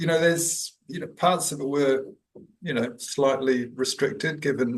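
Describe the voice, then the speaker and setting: A man with a New Zealand accent at a fairly high pitch and a moderate pace. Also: ordinary pitch variation. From New Zealand, Auckland. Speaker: executive coach. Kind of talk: podcast interview. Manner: hesitant, many fillers.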